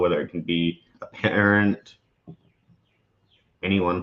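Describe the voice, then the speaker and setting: The speaker has an Australian accent. The intonation is monotone and flat. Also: man. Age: young. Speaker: host's son. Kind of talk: personal testimony.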